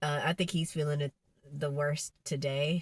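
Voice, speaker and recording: A woman speaks at a fairly slow pace with a very deep, low pitch and a somewhat breathy voice. The recording is very clean, with a silent background. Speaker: podcast host. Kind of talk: casual monologue. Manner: halting with fillers.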